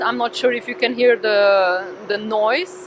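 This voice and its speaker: A woman with a Slovenian accent talks at a moderate pace. Her pitch is fairly high. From Slovenia, Ljubljana. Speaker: tour guide. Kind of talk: live guided walk. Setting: outdoors, walking in city at dusk. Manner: casual, hesitant with fillers.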